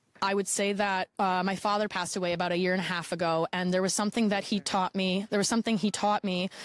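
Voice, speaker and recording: Very fast, with hardly any pauses, a woman speaks at medium pitch in a monotone, flat delivery. Her loudness stays very even, and the sound is dry and close, with no echo. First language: Polish. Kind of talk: interview testimony. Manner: halting, with repetitions and fillers.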